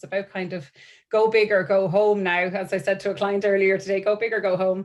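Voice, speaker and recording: A woman with an Irish accent, medium in pitch, at a very fast pace. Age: 40s. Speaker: marketing and events professional. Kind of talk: networking presentation. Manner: animated.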